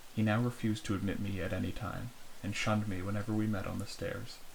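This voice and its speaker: A soft-spoken man is whispering. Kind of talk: softly spoken horror story reading for ASMR. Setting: close-mic recording for headphones. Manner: soft-spoken, whispery.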